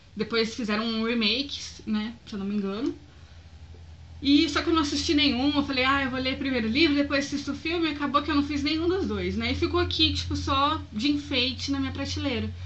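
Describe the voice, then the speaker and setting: This woman talks at a fairly quick pace. Room echo is audible. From Brazil, Foz do Iguaçu (Paraná). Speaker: vlogger. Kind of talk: casual vlog, selling used books. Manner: loud.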